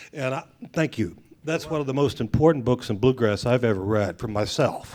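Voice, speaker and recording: With an American accent, a man at medium pitch speaks at a moderate pace with lively intonation in an unremarkable speaking voice. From Washington, D.C. area. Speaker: bluegrass singer. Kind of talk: audience comment at panel. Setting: festival panel with audience.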